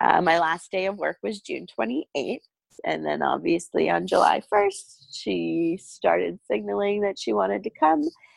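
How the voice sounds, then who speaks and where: The woman talks at a fairly slow pace. Her sound is dry and close, with no echo. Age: 30s. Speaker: bereaved mother sharing her story. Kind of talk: testimony. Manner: hesitant, many fillers.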